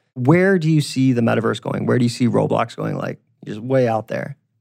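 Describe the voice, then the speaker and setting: A man speaks fairly quickly in a plain, everyday voice, medium in pitch, with lively intonation. The recording is very clean with a silent background. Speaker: podcast host. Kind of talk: interview.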